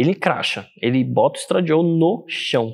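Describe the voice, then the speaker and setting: Ordinary pitch variation marks this man's speech. The background is quiet. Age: 20s. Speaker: fitness and hormone specialist; interview guest. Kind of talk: casual interview. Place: gym.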